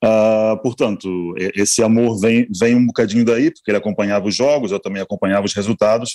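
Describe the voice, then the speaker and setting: The voice has a dark, mellow tone and a Brazilian accent, with a dry, close sound with no echo. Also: man, fairly low pitch for a man, fairly even intonation, fairly quick pace, hardly any pauses. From Brazil, Rio de Janeiro. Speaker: newspaper art director. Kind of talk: casual chat.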